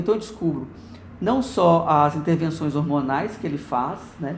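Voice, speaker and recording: The voice has ordinary pitch variation and audible room echo. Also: man. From Minas Gerais, Brazil. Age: 40s. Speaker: oral history interviewee. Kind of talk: oral history interview. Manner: halting.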